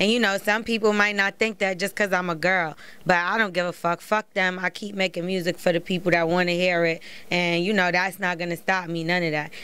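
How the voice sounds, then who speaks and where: Bright and sharp in tone, a woman with an American accent speaks at a medium pitch with monotone, flat intonation. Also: fairly quick pace. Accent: New York with slight West Coast. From New York, Brooklyn. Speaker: rapper. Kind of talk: interview.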